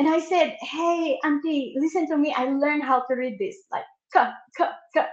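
Her intonation lively, a woman is speaking. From Philippines, Manila. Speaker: life coach. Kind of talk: interview.

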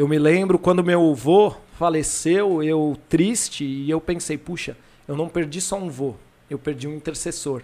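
A fairly high-pitched male voice with a dark, mellow tone, ordinary pitch variation and a fairly slow pace. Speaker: pastor. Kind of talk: casual chat.

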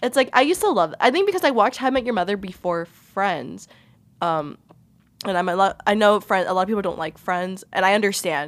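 A woman with an ordinary speaking voice, lively intonation and an American accent. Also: medium pitch for a woman, fairly quick pace. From Peruvian family, US. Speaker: college radio podcast co-host. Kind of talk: casual chat. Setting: studio.

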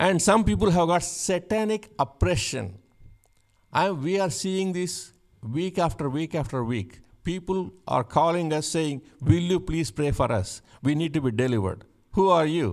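With very wide pitch swings, a man talks at a moderate pace in a fairly high pitch, recorded very cleanly against a silent background. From India. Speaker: pastor. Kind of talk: sermon. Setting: church. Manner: halting.

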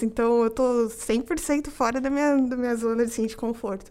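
A woman's high voice moves fairly quickly, its pitch rising and falling in an ordinary way. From Campinas, São Paulo state, Brazil. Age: 20s. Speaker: corporate trainee, mechanical engineer. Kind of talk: casual interview chat.

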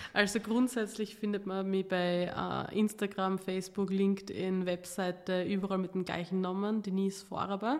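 A woman speaks at a moderate pace in a monotone, flat delivery. Noticeable background noise runs under her voice. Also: medium pitch for a woman. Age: 20s. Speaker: entrepreneur and pitch trainer. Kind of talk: interview conversation.

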